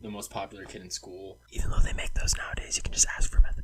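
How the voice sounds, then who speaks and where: An animated male voice over noticeable background noise. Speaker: storytime vlogger. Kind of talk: casual storytelling. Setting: home studio. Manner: fast. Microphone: cheap microphone.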